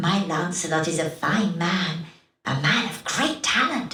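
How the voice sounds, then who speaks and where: A woman speaks in a put-on character voice at a moderate pace. A slight echo surrounds her. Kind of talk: archaic Elizabethan speech. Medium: video game. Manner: theatrical, falsely sweet.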